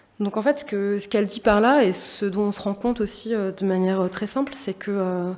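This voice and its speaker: Noticeable background noise sits behind a woman talking at a fairly quick pace with hardly any pauses. Her pitch is medium, with ordinary variation. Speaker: exhibition curator and artist. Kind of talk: public talk. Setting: auditorium with audience. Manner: fast; halting, many fillers.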